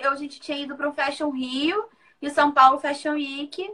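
With a raised, projected voice, a woman speaks at a high pitch in a bright, sharp tone. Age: 30s. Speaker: author and makeup artist. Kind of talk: live interview. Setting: Instagram live stream.

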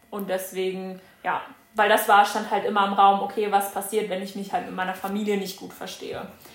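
At a fairly quick pace, the voice stays monotone and flat yet swings widely in loudness, with audible room echo and noticeable background noise. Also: woman, medium pitch for a woman. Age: 20s. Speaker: former au pair. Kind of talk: casual chat.

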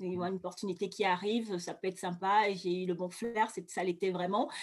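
A woman talks at a fairly slow pace. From Cameroon, Douala. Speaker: beauty entrepreneur, former flight attendant. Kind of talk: interview testimony. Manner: hesitant, many fillers and repetitions.

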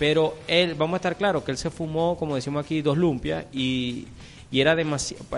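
Fairly high in pitch, a man talks at a fairly quick pace. His intonation stays fairly even. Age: 30s. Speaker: film podcast co-host. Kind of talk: casual chat. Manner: halting.

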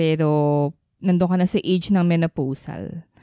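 The woman's tone is dark and mellow, and her pace is fairly quick. The sound is dry and close with no echo, on a very clean recording with a silent background. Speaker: podcast co-host. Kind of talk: casual chat.

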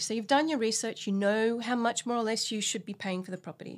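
A woman's fairly high-pitched voice in a very clean recording with a silent background. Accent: Australian. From Australia (Sydney). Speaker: buyer's agent. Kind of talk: interview.

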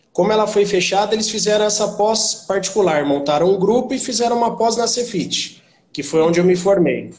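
A man with a high pitch and ordinary pitch variation speaks at a fairly quick pace with hardly any pauses, in audible room echo. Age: 30s. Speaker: personal trainer. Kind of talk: interview.

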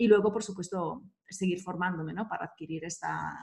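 At a fairly slow pace, a woman talks with vocal fry and fairly even intonation. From Italy (Verona). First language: Italian (speaking Spanish). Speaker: business coach and entrepreneur. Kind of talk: interview conversation.

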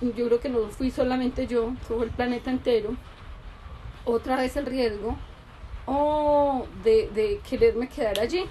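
A woman's high-pitched, animated voice at a fairly slow pace. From Colombia. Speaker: podcast co-host, mother. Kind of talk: casual chat.

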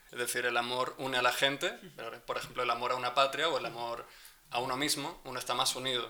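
Very fast speech from a man amid noticeable background noise. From Spain. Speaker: podcast co-host. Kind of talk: casual chat. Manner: reflective.

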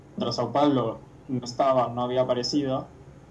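A man speaks with a Rioplatense accent at medium pitch and a moderate pace. His intonation is fairly even, and the room echo is audible. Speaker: football podcast co-host. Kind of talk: casual chat.

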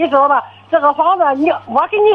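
The woman speaks with lively intonation. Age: 70s. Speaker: caller. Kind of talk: phone-in call. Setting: phone call. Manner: clear, fluent for her age; halting, repetitive. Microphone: poor phone line.

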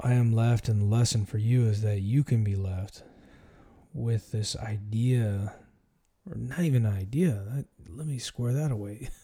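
A man with a dark, mellow, somewhat breathy voice at medium pitch speaks at a fairly slow pace with ordinary pitch variation. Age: 40s. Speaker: podcast host, military veteran. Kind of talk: solo monologue, personal reflection. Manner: casual, filler-heavy.

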